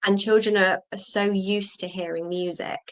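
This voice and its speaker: A woman speaks with a southern English accent. Her pitch varies in an ordinary way. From southern England. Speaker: ESL teacher. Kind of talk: interview.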